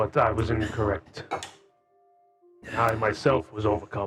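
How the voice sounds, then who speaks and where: Faint music plays behind a man doing a put-on character voice at a fairly low pitch. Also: moderate pace. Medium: actual play.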